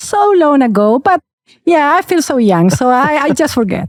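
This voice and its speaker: A woman speaks with a Spanish accent at a moderate pace, her high pitch moving in very wide swings. The sound is dry and close, with no echo. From Chile. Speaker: aviation lawyer. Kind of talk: interview. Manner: animated; hesitant, with fillers.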